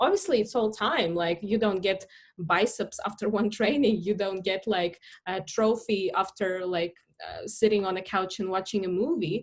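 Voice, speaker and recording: Speaking with a Russian accent at a moderate pace, a woman uses a medium pitch with ordinary variation. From Latvia, Russian-speaking family. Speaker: startup founder, marketing expert. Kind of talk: podcast interview.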